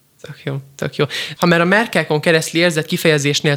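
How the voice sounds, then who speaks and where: A man's fairly high voice moves with fairly even intonation. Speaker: radio host. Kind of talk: radio interview. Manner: fast.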